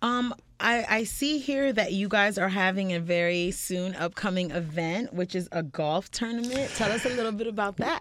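With an ordinary speaking voice, a woman of medium pitch talks at a moderate pace with lively intonation and hardly any pauses. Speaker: radio host. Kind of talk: casual interview. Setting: studio.

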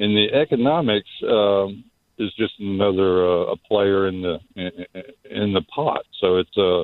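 A man talks at a fairly slow pace in a fairly low voice. His pitch varies in an ordinary way. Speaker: caller. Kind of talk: phone-in call. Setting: phone call. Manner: halting.

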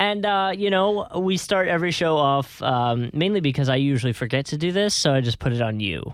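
A man's unremarkable speaking voice with an American accent, lively intonation, a fairly quick pace and hardly any pauses. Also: fairly high pitch for a man, very even loudness. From northern US. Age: 20s. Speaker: podcast host. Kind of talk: casual chat.

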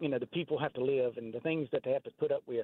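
In a Southern US accent, a man talks with a fairly high pitch. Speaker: caller. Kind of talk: casual chat. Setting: phone call.

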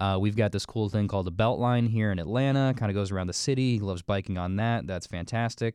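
Talking at a very fast pace with hardly any pauses, a man uses a fairly low pitch and ordinary pitch variation. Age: 20s. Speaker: podcast host, father. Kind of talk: casual chat.

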